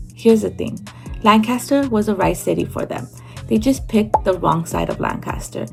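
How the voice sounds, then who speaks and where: Over music in the background, a woman speaks at a moderate pace with an American accent. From California. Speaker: real estate agent. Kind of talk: real estate explainer to camera.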